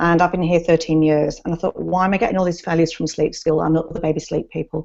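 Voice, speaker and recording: The speaker has an English accent and a very fast pace. The intonation is monotone and flat. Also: woman, fairly low pitch for a woman. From England. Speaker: nurse and sleep consultant. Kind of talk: casual advice chat.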